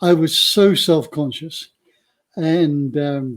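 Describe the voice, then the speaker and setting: A man speaks with a fairly high pitch and ordinary pitch variation. The recording is very clean, with a silent background. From England, moved to Australia as a young teenager. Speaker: author and retreat centre founder. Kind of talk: interview conversation.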